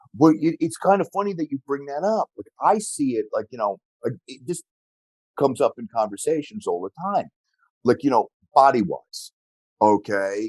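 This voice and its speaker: With fairly high pitch for a man, this man talks at a moderate pace, his pitch swinging very widely and his loudness rising and falling sharply, with long, frequent pauses and a dry, close sound with no echo. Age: 60s. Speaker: martial arts athlete and coach. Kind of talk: interview conversation. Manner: halting.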